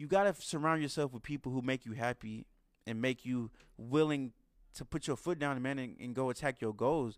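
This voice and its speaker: A man with a plain, everyday voice at a medium pitch, fairly quick, with ordinary pitch variation, dry, close sound with no echo, and a very clean recording with a silent background. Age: 20s. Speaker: podcast host. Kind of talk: casual monologue.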